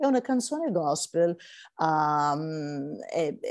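Against a quiet background, a woman with an English accent speaks in a dark, mellow tone with lively intonation. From California, US. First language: English (speaking Italian). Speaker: gospel singer; interviewee. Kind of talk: interview. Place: home room. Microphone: video call.

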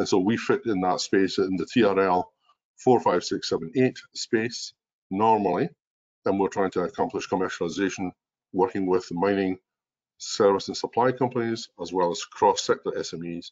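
A man talks at a fairly slow pace. He has a strong Scottish accent. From Scotland. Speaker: mining innovation executive. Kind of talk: webinar presentation. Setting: video call. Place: home room. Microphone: webcam.

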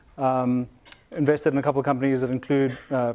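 At a fairly quick pace, a man talks in a monotone, flat intonation. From South Africa. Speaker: venture capitalist, panelist; panelist. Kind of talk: panel discussion. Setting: stage with live audience. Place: hall. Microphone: lapel.

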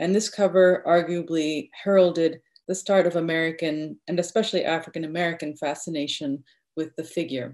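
A woman's fairly low-pitched voice at a fairly quick pace, with fairly even intonation and a quiet background. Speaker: literature professor. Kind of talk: academic paper presentation. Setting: video call. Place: home room. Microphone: video call.

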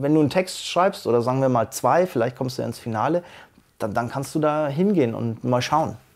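At a fairly quick pace, the speech carries ordinary pitch variation. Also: man. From Bavaria, Germany. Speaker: slam poet. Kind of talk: interview answer. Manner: casual. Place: studio. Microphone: lapel.

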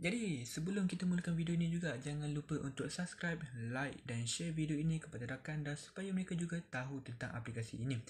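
Soft-spoken and fairly high-pitched, a man talks at a fairly quick pace with ordinary pitch variation. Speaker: YouTuber giving app money tips. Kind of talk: tutorial. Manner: halting.

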